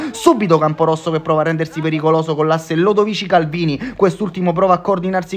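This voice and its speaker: Someone talks at a very fast pace with ordinary pitch variation, and noticeable background noise runs underneath. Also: man. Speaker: football commentator. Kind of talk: live football match commentary, voiced over highlight footage. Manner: upbeat, energetic and fairly formal broadcast tone.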